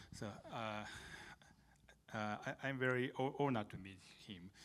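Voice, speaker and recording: Recorded very cleanly with a silent background, a man speaks at medium pitch with a Japanese accent. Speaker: manga artist, illustrator. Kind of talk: panel discussion. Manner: halting.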